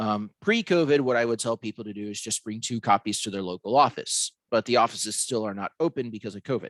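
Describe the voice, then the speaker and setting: A man speaks very fast. His pitch is medium. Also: ordinary pitch variation. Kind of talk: webinar presentation. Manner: halting, with fillers.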